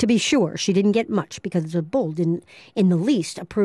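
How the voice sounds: Text is read out here. The voice is a natural reading voice.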